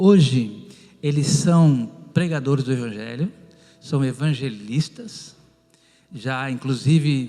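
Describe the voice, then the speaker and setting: With a medium pitch and ordinary pitch variation, this man delivers his words at a fairly slow pace. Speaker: pastor and former pharmacist. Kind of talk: testimony.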